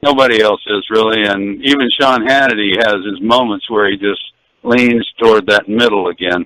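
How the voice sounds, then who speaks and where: At a moderate pace, a man speaks in a plain, everyday voice with a fairly low pitch and fairly even intonation. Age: 60s. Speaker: caller. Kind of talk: radio call-in. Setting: phone call from car.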